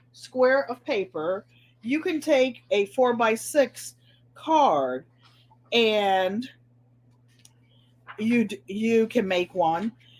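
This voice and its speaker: A woman speaks with a New England accent at a fairly high pitch. Her pace is very slow. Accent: New England twang. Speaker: craft video host. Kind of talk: casual chat. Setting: live stream.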